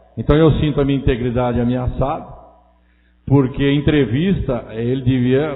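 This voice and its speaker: There's audible room echo as a man of medium pitch talks with fairly even intonation. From Brazil, interior of São Paulo state. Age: 60s. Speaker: city councilman. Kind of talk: council session speech. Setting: city council chamber. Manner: hesitant, with frequent fillers.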